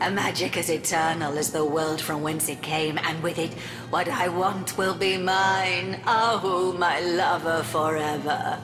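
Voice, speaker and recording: A cartoonish character voice at a middle pitch speaks at a fairly slow pace. Loud background noise fills the recording. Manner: haughty, theatrical.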